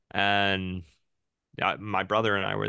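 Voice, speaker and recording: Over a quiet background, a man with an unremarkable speaking voice and fairly low pitch talks at a moderate pace. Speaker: podcast co-host. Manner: joking, playful.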